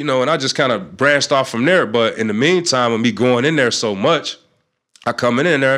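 A man's medium-pitched voice, bright and sharp in tone, with ordinary pitch variation and a fairly quick pace, on a very clean recording with a silent background. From North Chicago, Illinois. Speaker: author. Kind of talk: casual interview. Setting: studio.

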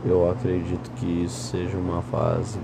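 Heard with audible room echo and noticeable background noise, a man talks at a fairly slow pace. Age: 20s. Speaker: podcaster. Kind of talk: casual monologue. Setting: lying in bed at night. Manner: rambling, drowsy with yawns.

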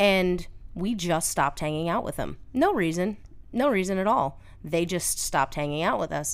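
This is a woman in a normal speaking voice at medium pitch. She talks at a moderate pace with lively intonation. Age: 30s. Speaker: host's older sister, mother of a teenager. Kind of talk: casual chat.

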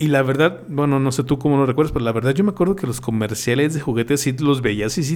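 A man with a fairly high pitch talks at a very fast pace, his pitch variation ordinary. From Mexico. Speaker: podcast host. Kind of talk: casual chat.

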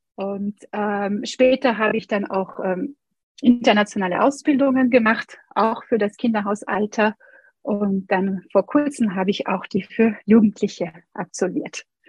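A somewhat breathy woman at a fairly high pitch and a fairly slow pace. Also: ordinary pitch variation. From France. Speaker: Montessori educator and pianist. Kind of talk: interview.

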